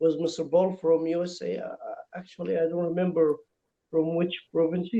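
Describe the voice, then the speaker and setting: A man with an Egyptian accent speaks in a high-pitched voice with a dark, mellow tone. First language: Arabic. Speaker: English teacher, language learner. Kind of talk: casual chat. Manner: halting.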